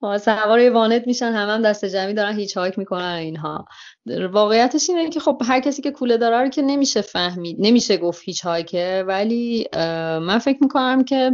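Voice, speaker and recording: Lively in intonation and fairly high in pitch, a woman talks at a fairly quick pace. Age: 30s. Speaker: travel podcaster and cafe-gallery owner. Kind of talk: interview. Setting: Skype call.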